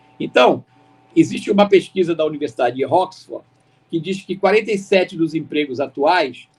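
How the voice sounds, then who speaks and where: This man speaks with a high pitch. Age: 80s+. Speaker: keynote speaker. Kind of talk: lecture. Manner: halting.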